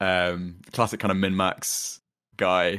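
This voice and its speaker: A man with a London accent speaks on a very clean recording with a silent background. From London, England. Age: 20s. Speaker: dungeon master and software engineer. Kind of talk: casual interview chat.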